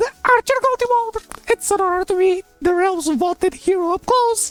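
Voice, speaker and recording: The speaker uses a put-on character voice at an extremely high pitch. Faint music plays in the background. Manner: cheery.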